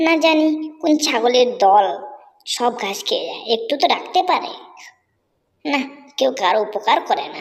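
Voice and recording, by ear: A female-sounding cartoonish character voice, pitched high, moves along at a moderate pace.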